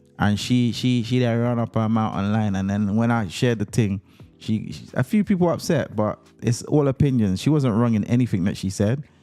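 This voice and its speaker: A man speaks at a fairly quick pace in a medium pitch. His pitch varies in an ordinary way, with music playing in the background. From UK. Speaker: radio and podcast host. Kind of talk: live call-in radio talk show. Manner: animated.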